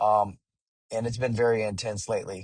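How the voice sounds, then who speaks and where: A somewhat breathy man at a moderate pace, against a quiet background. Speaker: musician. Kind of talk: vlog monologue. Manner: hesitant, many fillers.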